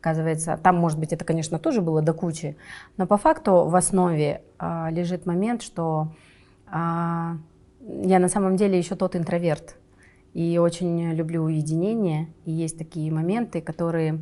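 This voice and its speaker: Flat and monotone, a woman speaks in a fairly low pitch with a dark, mellow tone. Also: moderate pace, quiet background. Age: 30s. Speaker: film producer. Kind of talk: interview. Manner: casual, hesitant fillers.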